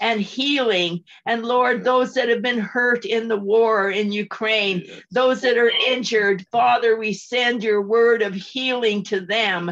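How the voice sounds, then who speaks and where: Very slowly and with fairly even intonation, a woman talks at a fairly high pitch. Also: quiet background. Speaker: missionary evangelist. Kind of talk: spoken prayer. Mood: earnest, fervent. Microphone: video call.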